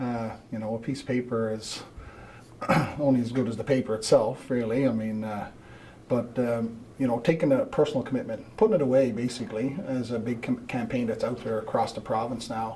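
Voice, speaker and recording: Noticeable background noise sits under a man speaking with an East Coast Canadian accent. His medium-pitched voice moves at a fairly quick pace with fairly even intonation. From Newfoundland, Canada (St. John's). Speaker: road safety committee member. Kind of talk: studio interview. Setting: TV studio.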